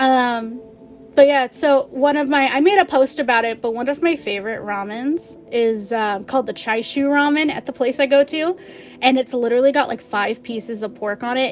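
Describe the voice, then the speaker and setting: Over noticeable background noise, a woman speaks fairly quickly at a high pitch with ordinary pitch variation. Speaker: vtuber streamer. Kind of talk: casual live stream chat. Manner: fast; animated.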